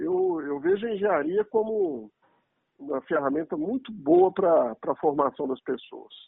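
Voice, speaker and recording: A man with a high pitch speaks at a fairly slow pace, using lively intonation. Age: 40s. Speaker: engineer and business executive. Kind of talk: interview.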